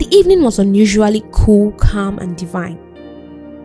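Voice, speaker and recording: Behind the speech, music is playing. The voice is a woman's. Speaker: spoken word poet. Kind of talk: spoken word poetry performance.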